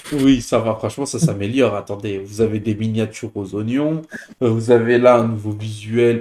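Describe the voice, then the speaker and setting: A man talks at a moderate pace and medium pitch. His tone is dark and mellow. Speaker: football YouTuber. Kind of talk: casual chat. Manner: hesitant, many fillers.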